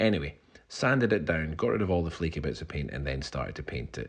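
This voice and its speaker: A man with a Scottish accent. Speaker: DIY home renovator. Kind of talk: casual talk to camera.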